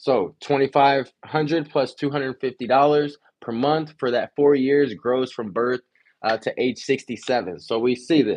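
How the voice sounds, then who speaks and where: Medium in pitch, a man's voice moves at a moderate pace with fairly even intonation. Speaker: insurance agent teaching financial literacy class. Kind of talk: reading aloud from a book with commentary. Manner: halting, self-correcting.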